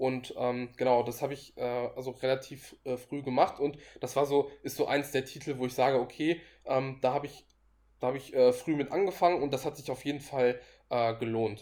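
Dark and mellow, a man's medium-pitched voice moves at a moderate pace with fairly even intonation. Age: 20s. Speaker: finance blogger and investor. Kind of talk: casual interview. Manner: hesitant, many filler sounds.

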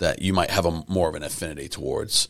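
On a very clean recording with a silent background, the talking proceeds at a moderate pace. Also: man. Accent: American. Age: 40s. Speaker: podcast co-host. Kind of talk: casual chat. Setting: studio. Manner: halting.

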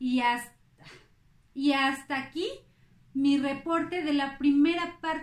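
A woman talks at a very slow pace in a high pitch, leaving long, frequent pauses. Her intonation stays fairly even, and the room echo is audible. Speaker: podcast host, amateur history narrator. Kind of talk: casual storytelling narration. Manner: halting, many fillers.

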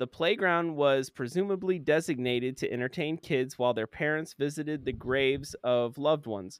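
Speaking in a plain, everyday voice with an American accent, a man talks at a fairly high pitch and moderate pace, with ordinary pitch variation and hardly any pauses. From Florida. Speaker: podcast co-host. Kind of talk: reading aloud; casual chat.

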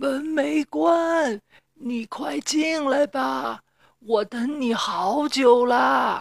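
Shouting in a gruff, put-on character voice, the speaker goes very slowly at a fairly high pitch. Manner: feigning a gentle voice.

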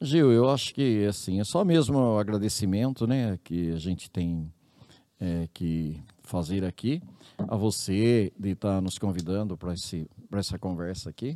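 Fairly slow and fairly low-pitched, a man's dark, mellow voice carries lively intonation. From interior of São Paulo state, Brazil. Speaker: public health ombudsman, former city councillor. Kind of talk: interview.

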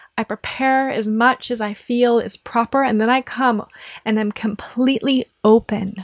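This woman's voice sits fairly high. She speaks at a moderate pace with flat, monotone intonation. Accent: American. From US Midwest. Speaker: Vedic astrologer. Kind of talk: interview conversation.

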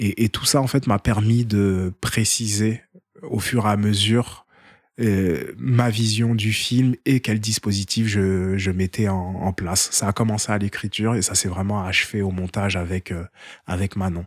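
A man with a fairly low pitch speaks fairly slowly with fairly even intonation, in a dry, close sound with no echo and a very clean recording over a silent background. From France, Seine-Saint-Denis. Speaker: documentary filmmaker. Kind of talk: casual interview. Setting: at the host's home. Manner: hesitant, repeats words.

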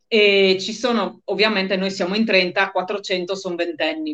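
Her pitch sits in the medium range for a woman. She talks at a moderate pace in a monotone, flat way. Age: 40s. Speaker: interviewee with multiple sclerosis, author. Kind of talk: interview. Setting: live online stream.

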